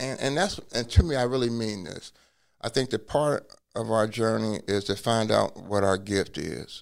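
Speaking with an American accent, a man has an unremarkable speaking voice at a medium pitch, with ordinary pitch variation, a moderate pace and a very clean recording against a silent background. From US Midwest (Cincinnati, Ohio). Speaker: law professor and former attorney. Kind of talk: personal testimony interview.

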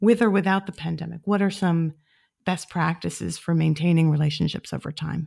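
A woman with a normal speaking voice talks at a fairly quick pace and fairly low pitch. The recording is very clean, with a silent background. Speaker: podcast host. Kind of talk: interview.

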